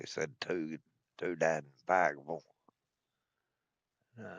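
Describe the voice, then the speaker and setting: A man's very deep, low voice with an Appalachian accent, at a moderate pace, with fairly even intonation and big swings in loudness. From US South, southern West Virginia (Mingo County). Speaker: gaming streamer. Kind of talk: casual commentary.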